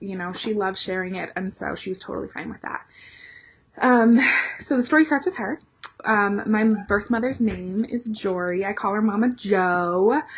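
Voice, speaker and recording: Somewhat breathy, a woman with an American accent speaks at a moderate pace, her medium pitch showing ordinary variation. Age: 20s. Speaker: vlogger. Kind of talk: personal story vlog.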